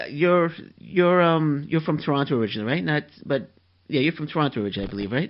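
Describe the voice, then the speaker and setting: With a Queens accent, a man talks at a very fast pace. His pitch is fairly high and his intonation lively. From New York City (Flushing, Queens). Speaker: podcast host. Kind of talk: interview.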